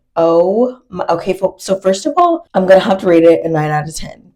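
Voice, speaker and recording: With music in the background, the speaker has an animated tone, ordinary pitch variation and a moderate pace. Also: woman. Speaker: beauty vlogger. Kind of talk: casual chat.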